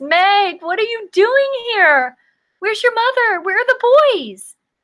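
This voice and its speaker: Putting on a character voice, a woman squeaks at an extremely high pitch and a fairly slow pace. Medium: read story.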